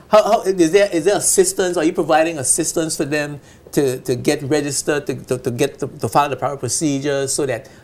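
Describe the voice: A man with a fairly high voice speaks at a fairly quick pace, using few pauses and fairly even intonation.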